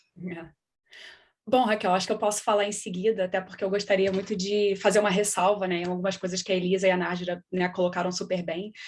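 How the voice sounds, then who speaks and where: At a very fast pace, a woman talks in a medium pitch with monotone, flat intonation. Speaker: scientist. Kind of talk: panel discussion.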